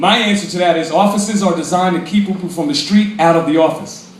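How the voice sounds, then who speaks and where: At a fairly quick pace and with ordinary pitch variation, the speech carries audible room echo and noticeable background noise. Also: man. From Brooklyn, New York City. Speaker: congressional candidate, activist. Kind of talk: political speech to a crowd. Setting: cafe event with audience. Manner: animated.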